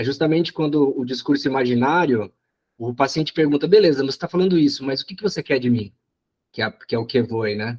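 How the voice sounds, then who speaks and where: A man with a fairly high pitch, ordinary pitch variation and a fairly quick pace, in a dry, close sound with no echo. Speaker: psychoanalysis study group coordinator. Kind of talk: study group discussion. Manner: halting, many repetitions.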